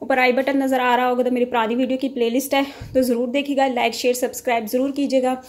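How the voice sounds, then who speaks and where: The delivery is monotone and flat at a fairly quick pace. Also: woman. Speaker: home cook vlogger. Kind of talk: casual cooking tutorial. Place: kitchen. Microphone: phone near.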